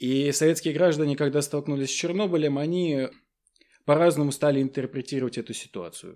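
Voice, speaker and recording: With a dark, mellow tone and a fairly high pitch, a man speaks at a fairly quick pace with ordinary pitch variation. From Tatarstan, Naberezhnye Chelny. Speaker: university lecturer. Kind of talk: interview.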